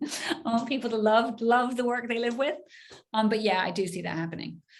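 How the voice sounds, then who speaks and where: A woman talks at a fairly quick pace. Her voice is somewhat breathy and fairly high in pitch. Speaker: gallery director, art professional. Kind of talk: webinar Q&A. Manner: fast; animated.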